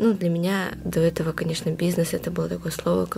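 A woman's fairly low voice with ordinary pitch variation against noticeable background noise. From Yakutia, Russia. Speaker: psychology student. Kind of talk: radio interview.

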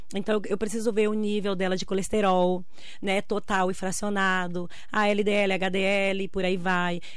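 In a room with audible echo, a woman talks at a fairly slow pace and medium pitch in a monotone, flat delivery. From Brazil, Bahia interior. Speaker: nutritionist. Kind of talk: radio interview.

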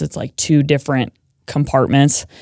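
A dark, mellow tone in an American accent, monotone and flat in intonation, at a moderate pace, on a very clean recording with a silent background. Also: woman. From Montana, small town near Bozeman. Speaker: emergency room nurse and podcaster. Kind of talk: casual interview conversation. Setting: studio.

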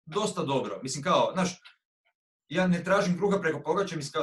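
A man talks with a high pitch. His intonation is lively. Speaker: musician and music producer. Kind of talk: casual chat.

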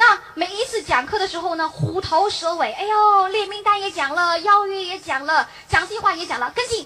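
A woman's raised, projected voice at an extremely high pitch, fairly quick with hardly any pauses and big swings in loudness. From Beijing. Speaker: direct sales distributor. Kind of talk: motivational talk. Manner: animated.

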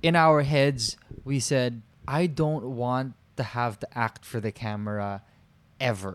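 A man's medium-pitched voice at a fairly slow pace, with ordinary pitch variation. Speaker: podcast co-host. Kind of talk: casual chat. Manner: sing-song modulated.

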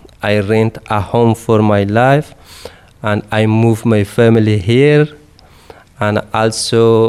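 A man speaks very slowly with an Afghan accent. Background noise is noticeable. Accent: Afghan Dari-accented English. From Afghanistan. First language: Dari. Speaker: refugee, civil engineer. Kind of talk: personal testimony interview. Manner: halting, hesitant.

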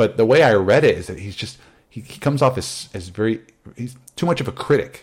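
A plain, everyday voice from a man at a medium pitch and fairly quick pace, with lively intonation and big swings in loudness. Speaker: podcast host. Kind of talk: casual chat. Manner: humorous, does impressions.

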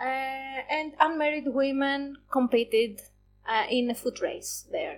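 Speaking at a very slow pace, a woman uses a high voice with ordinary pitch variation. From Greece. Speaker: museum worker, Olympics expert. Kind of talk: casual podcast chat, explaining history.

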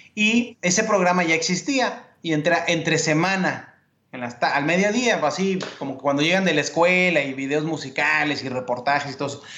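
A man's fairly high, ordinary speaking voice, with ordinary pitch variation and a moderate pace. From Mexico (Mexico City, Sonora). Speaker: sports journalist and TV co-host. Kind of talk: interview, casual chat.

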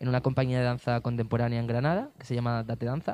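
Speaking in an Andalusian accent, a man goes at a very fast pace. His pitch sits at a medium level. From Andalusia, Spain (Cádiz province). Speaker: dancer. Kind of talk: interview.

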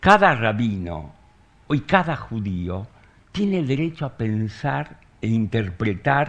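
A man talks at a very slow pace, his fairly low pitch swinging very widely. His voice is somewhat breathy. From Argentina (born in Soviet Union). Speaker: writer. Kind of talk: public conversation.

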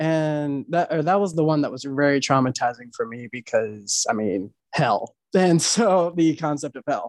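Speaking at a moderate pace, a man uses an unremarkable speaking voice. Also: dry, close sound with no echo. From Maryland, US. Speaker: poet and musician. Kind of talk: casual interview conversation.

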